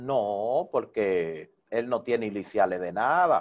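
A man speaks with a Dominican accent. His intonation is lively. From Dominican Republic, Santo Domingo (Herrera). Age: 30s. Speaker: salsa DJ and radio presenter. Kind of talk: interview.

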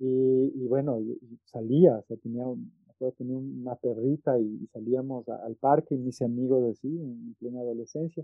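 A man at a moderate pace, with fairly even intonation and big swings in loudness, over music in the background. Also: medium pitch for a man, hardly any pauses. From Quito, Ecuador. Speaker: visual artist and art professor. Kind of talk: interview conversation. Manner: halting, many repetitions.

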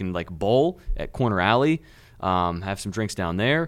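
With an American accent, a man talks in a normal speaking voice at a moderate pace in a very clean recording with a silent background. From US, small town. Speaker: podcast co-host. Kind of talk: casual chat. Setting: studio.

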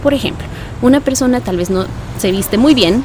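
A woman's lively intonation amid noticeable background noise and audible room echo. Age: 20s. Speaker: voice-over artist and preacher. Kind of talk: interview.

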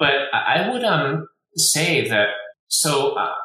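The room echo is audible as a man speaks. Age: 50s. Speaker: pediatric ophthalmologist and research institute director. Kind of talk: interview.

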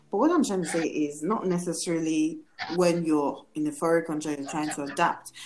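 Fairly quick speech with fairly even intonation against noticeable background noise. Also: woman, fairly low pitch for a woman. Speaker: podcast host. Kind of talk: casual chat.

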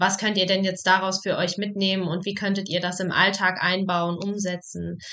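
At a moderate pace, a woman speaks in a medium pitch with a bright, sharp tone and monotone, flat intonation. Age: 20s. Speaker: psychologist and podcast host. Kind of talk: casual chat.

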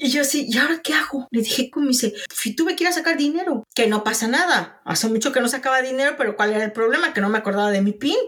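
Against noticeable background noise, a woman talks very fast with hardly any pauses, her high voice lively in intonation and very even in loudness. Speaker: podcast co-host. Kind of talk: casual chat.

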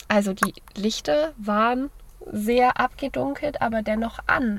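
A woman's somewhat breathy voice sits at a fairly high pitch and carries lively intonation. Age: 20s. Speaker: university student, podcast co-host. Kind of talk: casual chat. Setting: in a parked car.

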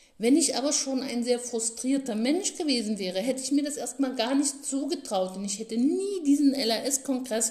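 Over noticeable background noise, a woman with a high pitch talks at a moderate pace, her tone animated and her intonation lively. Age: 50s. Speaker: learning therapist and podcast host. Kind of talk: solo podcast monologue.

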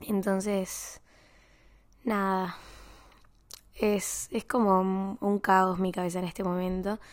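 In a Rioplatense accent, a woman at medium pitch speaks at a very slow pace with monotone, flat intonation and long, frequent pauses on a very clean recording with a silent background. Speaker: podcaster. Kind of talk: personal diary-style monologue. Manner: halting.

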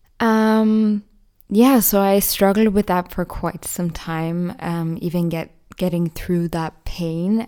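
A woman with a slight Irish accent speaks very slowly in a fairly low, dark, mellow voice. The recording is very clean, with a silent background. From Ireland. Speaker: podcast host. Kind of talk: solo monologue.

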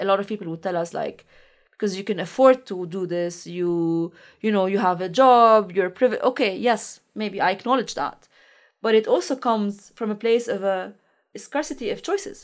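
In a Lebanese accent, a woman speaks at a fairly quick pace with a fairly high pitch and ordinary pitch variation, leaving long, frequent pauses, on a very clean recording with a silent background. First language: Arabic. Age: 30s. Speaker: researcher and political activist. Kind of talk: interview.

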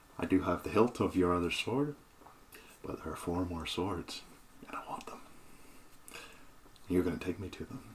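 In a put-on character voice, a man speaks raspy and at a very deep, low pitch, at a moderate pace with long, frequent pauses over light background noise. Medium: actual play. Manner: gloating, menacing, pirate swagger.

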